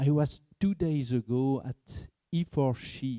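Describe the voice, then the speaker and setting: A man with a French accent speaks at a medium pitch in a dark, mellow tone. The sound is dry and close with no echo, and his pitch varies in an ordinary way. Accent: non-native English, French. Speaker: market research executive, behavioral economics consultant. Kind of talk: conference panel talk.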